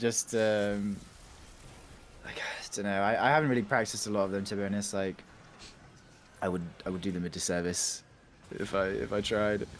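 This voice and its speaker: With a southern English accent, a man speaks in a fairly low voice with fairly even intonation and long, frequent pauses. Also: fairly quick pace. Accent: southern English, proper Queen's English. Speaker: gaming streamer. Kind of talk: casual chat. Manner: halting.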